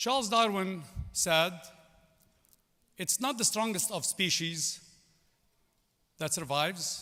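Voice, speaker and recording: A man with a Lebanese accent speaks very slowly in a raised, projected voice, with long, frequent pauses. His pitch is high, his tone bright and sharp, and his intonation lively. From Lebanon. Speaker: commencement speaker, business executive. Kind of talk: commencement speech.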